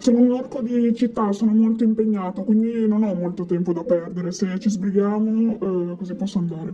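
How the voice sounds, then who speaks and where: A put-on character voice, fairly high in pitch, at a moderate pace with hardly any pauses, over clear background noise. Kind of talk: student radio role-play interview.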